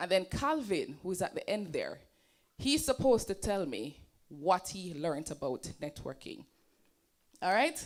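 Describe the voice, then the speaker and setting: Her pitch swings very widely as this woman talks in an animated tone at a fairly slow pace, leaving long, frequent pauses. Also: medium pitch for a woman. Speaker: presenter and entrepreneur. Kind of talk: seminar presentation. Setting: stage with audience.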